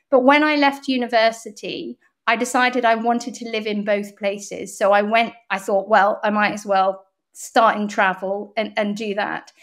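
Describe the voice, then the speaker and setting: In an English accent, a woman with a fairly high pitch talks at a moderate pace with fairly even intonation, on a very clean recording with a silent background. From England (Bath), partly Hong Kong and Canada. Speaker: PR agency founder. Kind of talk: interview.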